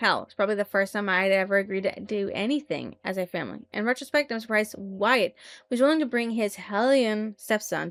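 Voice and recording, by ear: The pitch moves in an ordinary way. The text is read aloud in a natural voice.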